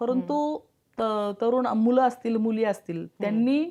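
Over a quiet background, a woman with a high pitch and a dark, mellow tone speaks with ordinary pitch variation. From Pimpri-Chinchwad, Pune, Maharashtra. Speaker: politician. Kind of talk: interview. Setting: studio.

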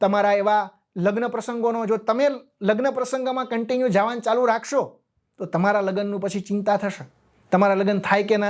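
In a quiet background, a man with a high voice speaks with fairly even intonation. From Gujarat, Amreli district village. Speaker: government officer and exam lecturer. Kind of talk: motivational talk.

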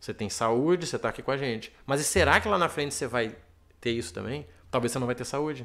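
A man speaks very fast, with a quiet background behind him. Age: 30s. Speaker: financial consultant; interview guest, miles educator. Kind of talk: interview. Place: studio. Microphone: studio mic.

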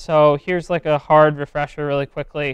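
Delivery comes at a moderate pace. The background is quiet, and the sound is dry with no echo. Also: man. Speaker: presenter. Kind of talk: lecture. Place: classroom. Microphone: lapel.

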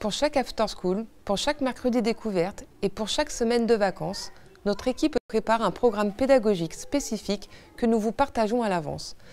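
A woman's ordinary speaking voice, fairly high-pitched, with lively intonation and a fairly quick pace. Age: 30s. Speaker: director of an after-school childcare service. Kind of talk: scripted presentation. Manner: formal.

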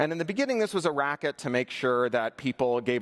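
The background is quiet while a man talks. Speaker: conference keynote speaker. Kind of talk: keynote talk. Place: stage.

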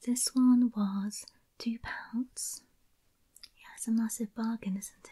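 Very slow, somewhat breathy speech with a dark, mellow tone and monotone, flat intonation over a quiet background. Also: woman. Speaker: ASMR creator. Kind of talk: soft-spoken show-and-tell haul. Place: home room. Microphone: studio mic.

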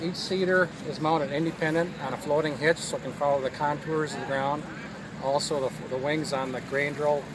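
The sound is dry with no echo, though background noise is clearly heard. A man speaks fairly quickly. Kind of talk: product explanation interview. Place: open country. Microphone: camera far.

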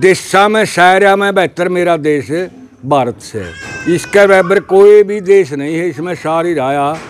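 This man's high-pitched voice moves at a fairly slow pace with ordinary pitch variation, and light background noise can be heard. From Haryana, Jind district; Haryana, India. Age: 70s. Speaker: village elder; interviewee. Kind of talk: interview. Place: open country. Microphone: lapel.

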